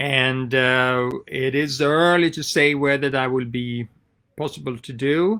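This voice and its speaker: With a bright, sharp tone, the voice moves at a fairly slow pace and keeps a fairly even intonation. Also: man, medium pitch for a man, very clean recording, silent background. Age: 60s. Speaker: travel company owner vlogger. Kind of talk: casual vlog update. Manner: halting, many fillers.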